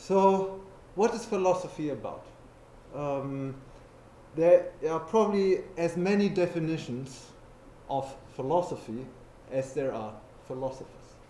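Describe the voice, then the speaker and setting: Pausing long and often, a man with a German accent speaks at a fairly slow pace in a high voice with lively intonation, with audible room echo and noticeable background noise. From Germany. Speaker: philosopher. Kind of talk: lecture.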